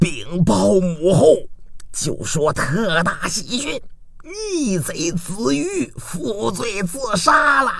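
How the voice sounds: Putting on a character voice, a man talks slowly at a high pitch with a fairly bright tone, vocal fry and big pitch swings over faint background noise.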